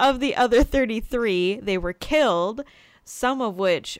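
On a very clean recording with a silent background, the intonation is lively. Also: woman. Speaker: podcast co-host. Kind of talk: casual chat. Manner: loud.

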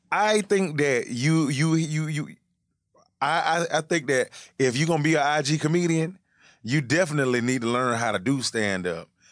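Against a quiet background, a man with an Atlanta accent speaks at a moderate pace with a fairly high pitch and lively intonation. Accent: Southern US, Atlanta. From Atlanta, US South. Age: 30s. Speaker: comedian and internet personality. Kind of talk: casual chat. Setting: studio.

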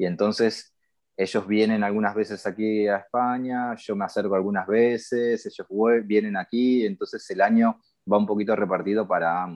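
A man speaks at a moderate pace and a fairly low pitch with fairly even intonation. His is an unremarkable speaking voice. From Argentina, Buenos Aires. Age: 40s. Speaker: tattoo artist. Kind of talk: interview.

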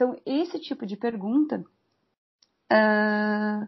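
A woman with a somewhat breathy voice, fairly high pitch and ordinary pitch variation. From Rio Grande do Sul, Brazil (Pelotas). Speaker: mathematics professor. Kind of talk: interview.

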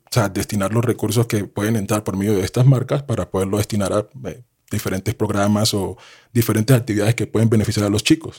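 A man talks at a fairly quick pace in a somewhat breathy voice of medium pitch with ordinary pitch variation. The recording is very clean, with a silent background. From Colombia. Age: 30s. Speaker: sports analyst and former basketball player. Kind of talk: casual interview.

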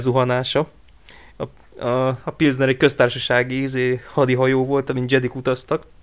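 Here a man talks at a fairly quick pace. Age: 20s. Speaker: podcast host and forum roleplay moderator. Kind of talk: casual chat.

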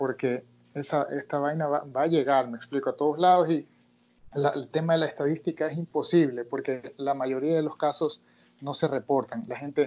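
A man's normal speaking voice, fairly high in pitch, fairly quick, with fairly even intonation. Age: 30s. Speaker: martial arts instructor. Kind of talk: interview.

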